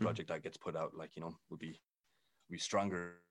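In an Irish accent, a man speaks with a very deep, low pitch and monotone, flat intonation. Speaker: member of a rap collective. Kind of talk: casual chat.

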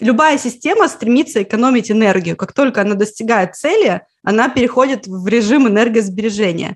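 Talking fairly quickly in a normal speaking voice, a woman has a fairly high pitch and ordinary pitch variation. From Russia, Karelia (Petrozavodsk). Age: 30s. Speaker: Finnish language teacher, online school founder. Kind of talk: interview conversation.

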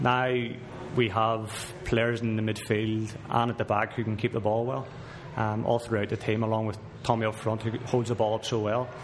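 In a Northern Irish accent, a man speaks in a monotone, flat intonation with long, frequent pauses, and background noise is noticeable. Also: medium pitch for a man, moderate pace. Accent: Northern Irish (Belfast). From Belfast, Northern Ireland. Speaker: professional footballer. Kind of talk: casual chat. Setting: sports restaurant.

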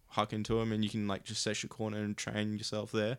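A man speaks at a fairly quick pace with an Australian accent and a medium pitch. The recording is very clean, with a silent background. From Canberra, Australia. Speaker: downhill skate event organizer. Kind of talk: casual chat.

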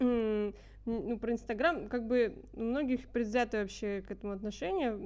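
With an unremarkable speaking voice, the speaker goes at a fairly slow pace with fairly even intonation and hardly any pauses. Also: woman, fairly high pitch for a woman. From St. Petersburg, Russia. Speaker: pianist, conservatory student. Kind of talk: casual chat.

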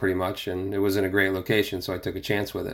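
Fairly low, fairly quick male speech in a very clean recording with a silent background. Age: 50s. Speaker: franchise store owner presenting association podcast. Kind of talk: reading an article aloud with personal commentary. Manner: halting, with fillers.

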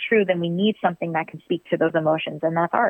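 An unremarkable speaking voice from a woman with an American accent, fairly low in pitch, with fairly even intonation. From Virginia, US. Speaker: stage and screen actress. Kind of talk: casual interview.

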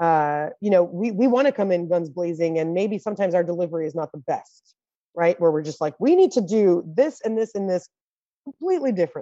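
Over a quiet background, a woman with a fairly low pitch and a dark, mellow tone talks at a fairly quick pace with lively intonation, the sound dry and close with no echo. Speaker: panel moderator. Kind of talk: panel discussion. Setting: video call.

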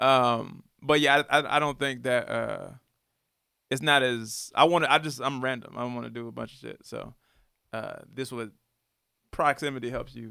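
With an American accent, a man talks at a moderate pace, with long, frequent pauses and big swings in loudness. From US South, Atlanta area. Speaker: rapper. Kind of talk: casual chat. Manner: halting.

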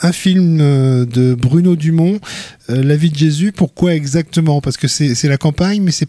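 A somewhat breathy man speaks at a moderate pace with a fairly high pitch and ordinary pitch variation, in a dry, close sound with no echo. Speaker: radio host. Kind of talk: interview about culture and media picks. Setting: studio.

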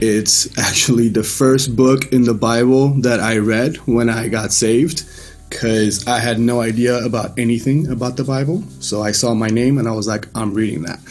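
Over music in the background, a man speaks at a moderate pace and medium pitch with fairly even intonation, hardly any pauses, and audible room echo. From Iran, Mashhad (moved away around age 10). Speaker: church member giving testimony. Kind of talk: testimony. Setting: video call.

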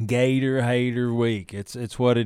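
Recorded very cleanly against a silent background, a man with a Southern US accent talks at a moderate pace. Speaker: radio sports show host. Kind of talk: casual radio talk and interview. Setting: radio studio.

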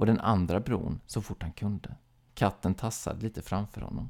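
Unforced reading voice, its intonation fairly even

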